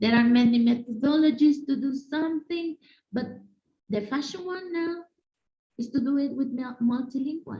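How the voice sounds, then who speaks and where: With a Spanish accent, a woman speaks at a high pitch and a moderate pace, with ordinary pitch variation and long, frequent pauses. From Mexico. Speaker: conference speaker, language educator. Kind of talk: conference presentation. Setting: video call. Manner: halting, with fillers.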